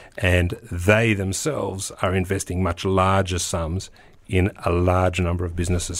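Speaking at a moderate pace, a man with a very deep, low pitch talks in an Australian accent. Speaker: tech entrepreneur and investor. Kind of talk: interview.

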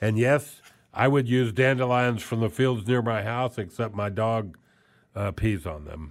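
The man talks at a fairly slow pace. His medium pitch shows ordinary variation. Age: 60s. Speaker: radio show host. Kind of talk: casual book review monologue. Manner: halting, many filler words.

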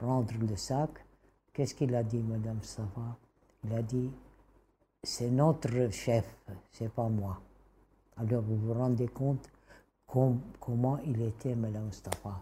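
With a Kurdish accent, a woman speaks very slowly in a very deep, low pitch, her tone dark and mellow and somewhat breathy, her intonation fairly even, and her long pauses frequent. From Syria, Damascus. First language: Kurdish (speaking French). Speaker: interviewee. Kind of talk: interview. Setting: at her home.

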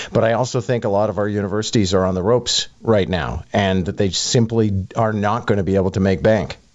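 Noticeable background noise behind a man at a fairly quick pace, fairly low in pitch, with fairly even intonation and hardly any pauses. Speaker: radio host and commentator. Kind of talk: radio panel discussion.

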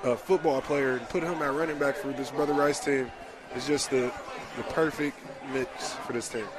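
With an American accent, a man talks at a fairly quick pace against noticeable background noise. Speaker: color commentator. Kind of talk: live football color analysis. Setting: stadium broadcast booth. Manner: enthusiastic, analytical.

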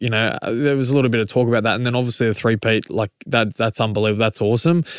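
A man with an Australian accent talks at a very fast pace and a medium pitch with ordinary pitch variation, the sound dry and close with no echo against a quiet background. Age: 30s. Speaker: rugby league player. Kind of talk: casual chat.

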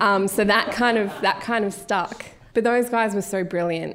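A woman with an Australian accent at medium pitch, ordinary pitch variation and a moderate pace. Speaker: broadcast journalist and podcast presenter. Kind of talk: live on-stage interview. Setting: live event stage with audience.

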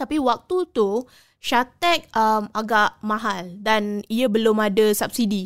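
A woman's fairly high voice, very slow, with ordinary pitch variation and very even loudness, on a very clean recording with a silent background. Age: 30s. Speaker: culinary graduate. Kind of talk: interview.

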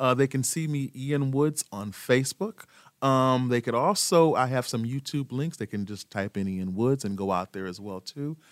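An ordinary speaking voice with lively intonation moves at a moderate pace in a very clean recording with a silent background and a dry, close sound with no echo. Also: man, medium pitch for a man. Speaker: program director of a nonprofit. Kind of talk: casual interview. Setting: studio.

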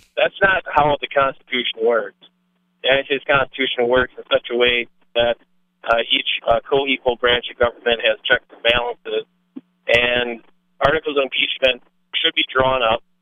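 An ordinary speaking voice from a man, medium in pitch, at a moderate pace, with fairly even intonation and big swings in loudness. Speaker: caller. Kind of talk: political opinion call-in. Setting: phone call.

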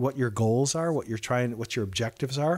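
A very clean, silent-background recording of a man speaking at a medium pitch. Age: 60s. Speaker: financial planner. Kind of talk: radio interview. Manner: halting.

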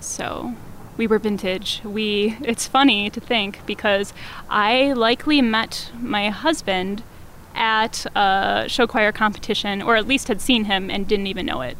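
Fairly slow speech with an American accent and ordinary pitch variation. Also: woman, fairly high pitch for a woman. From Wisconsin, US Midwest. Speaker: community theater event coordinator. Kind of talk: casual interview. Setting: outdoors on a terrace.

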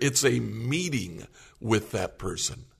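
Against a quiet background, a man with vocal fry speaks at a very slow pace with lively intonation. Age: 60s. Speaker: pastor. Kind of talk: casual chat.

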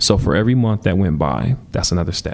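Noticeable background noise behind a man speaking in an American accent. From US Midwest, Milwaukee. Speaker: musician and dance teacher. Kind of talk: interview.

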